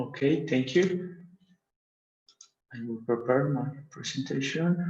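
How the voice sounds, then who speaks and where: Against audible room echo, a man with a Mexican accent speaks at a very slow pace with long, frequent pauses, his fairly high pitch showing ordinary variation. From Mexico. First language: Spanish. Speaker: university professor. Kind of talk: conference presentation. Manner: halting.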